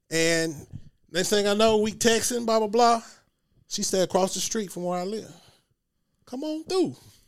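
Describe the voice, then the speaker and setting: Long pauses come often as this man speaks. His high-pitched voice has lively intonation. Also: moderate pace. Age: 40s. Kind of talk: casual chat.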